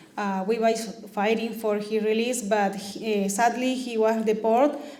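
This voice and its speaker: A woman speaks at a moderate pace in a fairly high voice with a Spanish accent. Her intonation is flat and monotone, with noticeable background noise and audible room echo. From Peru. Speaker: immigrant rights activist. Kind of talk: talk to meeting. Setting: community meeting.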